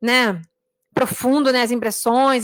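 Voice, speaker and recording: The woman speaks at a high pitch. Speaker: religious teacher. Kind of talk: online class on a devotional book. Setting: live stream. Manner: fast.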